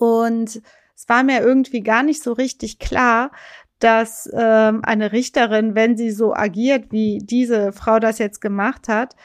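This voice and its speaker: Speaking at a fairly slow pace, a woman with a fairly high pitch and fairly even intonation has a normal speaking voice, recorded very cleanly against a silent background. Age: 40s. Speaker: lawyer and podcast co-host. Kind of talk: casual legal discussion podcast.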